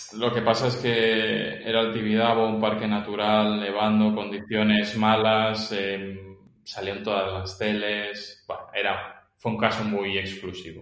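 A man speaks with a fairly low pitch and monotone, flat intonation. His pace is fairly slow. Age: 30s. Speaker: filmmaker and tennis coach. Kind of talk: casual interview.

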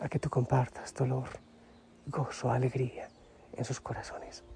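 A whisper at a fairly slow pace. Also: man. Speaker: religious preacher, spiritual leader. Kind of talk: devotional reflection. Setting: outdoors in the mountains. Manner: calm, gentle.

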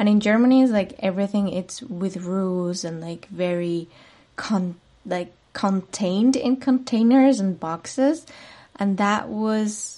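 This woman has a Spanish accent and a dark, mellow tone. She speaks at a fairly slow pace. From Spain, Madrid. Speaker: podcast host, spiritual coach. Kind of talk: solo monologue podcast.

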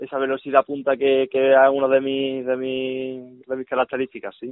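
Here is a man speaking. His voice has a medium pitch. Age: 20s. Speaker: futsal player. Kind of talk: radio interview.

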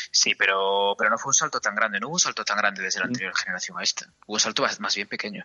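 The speech runs at a very fast pace with hardly any pauses. Its pitch varies in an ordinary way. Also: man, fairly low pitch for a man. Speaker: video game podcast co-host. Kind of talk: casual chat.

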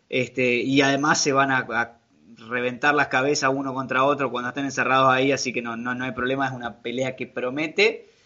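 A man talks at a fairly quick pace in a Rioplatense accent. His intonation is monotone and flat. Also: medium pitch for a man. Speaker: podcast co-host. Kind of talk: casual chat. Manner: halting, repeats words.

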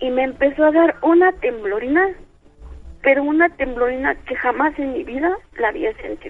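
Lively intonation from a high-pitched woman at a moderate pace. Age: 50s. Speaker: radio caller, blind listener. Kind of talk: phone-in testimony.

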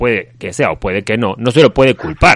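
A man with an Argentine accent talks at a very fast pace and medium pitch with lively intonation, in a dry, close sound with no echo. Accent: foreign accent, Argentine. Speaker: radio co-host. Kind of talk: comedic radio chat and storytelling.

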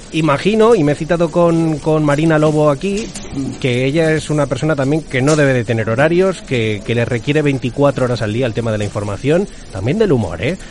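A fairly quick delivery in a Madrid accent, with lively intonation over noticeable background noise. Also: man, fairly high pitch for a man. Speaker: podcast host. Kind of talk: casual chat; scripted intro.

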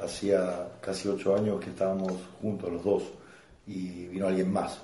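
A man with a Rosario accent talks at a fairly slow pace in a very deep, low voice that is somewhat breathy, dark and mellow. His intonation stays monotone and flat, and audible room echo surrounds the recording. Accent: Argentine Spanish (Rosario). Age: 30s. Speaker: stand-up comedian. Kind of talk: casual chat. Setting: home recording over beers.

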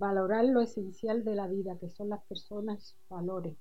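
The voice moves at a moderate pace, somewhat breathy, with fairly even intonation. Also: woman. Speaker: adult education student. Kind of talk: reading aloud personal writing. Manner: halting.

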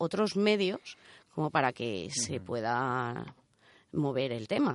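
A woman speaks at a fairly slow pace with lively intonation. The sound is dry and close with no echo, over a quiet background. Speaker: radio co-host, engineer. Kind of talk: casual chat. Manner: put-on sultry voice in intro.

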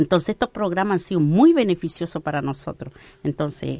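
In a dry, close recording with no echo, a woman with a dark, mellow tone and fairly low pitch speaks at a moderate pace. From Arauco, Biobío, Chile. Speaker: local entrepreneur, Mapuche community member. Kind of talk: radio interview.

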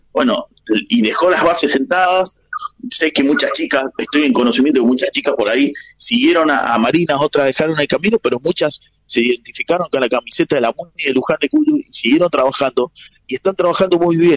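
Here is a man with an ordinary speaking voice. His pitch is fairly high, his pace fairly quick and his intonation lively. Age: 40s. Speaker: basketball journalist. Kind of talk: radio interview.

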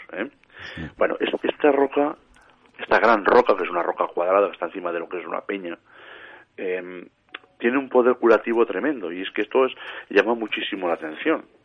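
Talking at a fairly quick pace, a man with a medium pitch uses lively intonation, big swings in loudness and long, frequent pauses. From Spain, Matarraña, Teruel (Aragon). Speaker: paranormal researcher and author. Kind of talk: radio interview.

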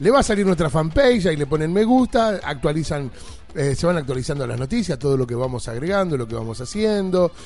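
Over noticeable background noise, a man with an Argentine accent talks very fast at a fairly high pitch, with very wide pitch swings. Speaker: radio host. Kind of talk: radio show.

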